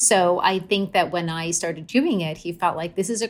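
A woman talks at a fairly low pitch with ordinary pitch variation. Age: middle-aged. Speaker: memoir author. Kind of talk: interview conversation. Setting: remote call. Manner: loud.

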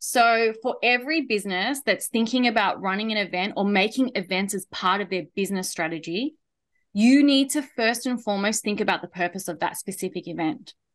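A woman with an Australian accent at a fairly quick pace, her fairly high pitch showing ordinary variation, against a quiet background. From Australia, Melbourne. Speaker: event and marketing consultant. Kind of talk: interview podcast chat.

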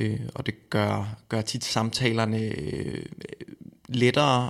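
This is a man speaking at a medium pitch. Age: 30s. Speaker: eating disorder counsellor. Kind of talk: interview. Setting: studio.

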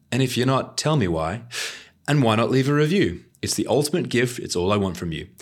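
This man talks at a fairly quick pace and medium pitch, with vocal fry. His pitch swings very widely. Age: 30s. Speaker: podcast host. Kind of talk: scripted narration; casual chat.

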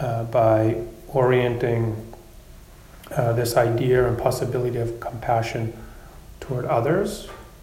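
Noticeable background noise sits behind the speaker. He is a man of medium pitch with monotone, flat intonation. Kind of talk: guided meditation. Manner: slow, soft, calm and gently paced with long pauses.

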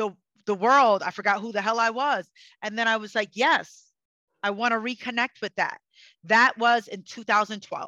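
Over a quiet background, a woman speaks loudly at a fairly high pitch with a bright, sharp, passionate tone and ordinary pitch variation. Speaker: psychic and energy healer. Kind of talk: casual interview conversation. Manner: passionate, fiery.

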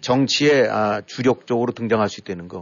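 A man with a normal speaking voice, medium pitch and a fairly slow pace. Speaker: political commentator. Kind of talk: casual chat.

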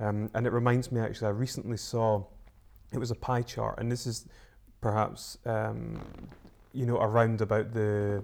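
Flat and monotone, a man speaks at a medium pitch and a moderate pace in a very clean recording with a silent background. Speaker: podcast host. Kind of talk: interview conversation.

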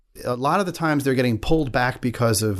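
A man with a New York accent talks at a very fast pace in a medium pitch against a quiet background. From Staten Island, New York City. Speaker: congressional candidate. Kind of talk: interview. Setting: studio.

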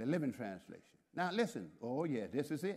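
A man speaks with vocal fry. His pace is moderate. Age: 70s. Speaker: pastor. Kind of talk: sermon. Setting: church with congregation. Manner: animated.

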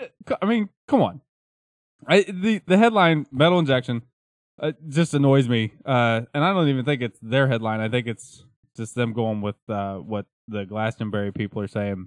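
At a moderate pace, a man with a plain, everyday voice and medium pitch speaks using lively intonation. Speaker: podcast host. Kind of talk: casual banter, joking chat. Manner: joking, rambling, improvisational.

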